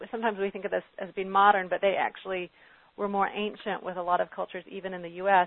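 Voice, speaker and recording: A woman with an American accent speaks at a very fast pace. Her medium-pitched voice stays monotone and flat. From US South, Arkansas. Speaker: medical anthropologist and author. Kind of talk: interview on health. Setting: phone call.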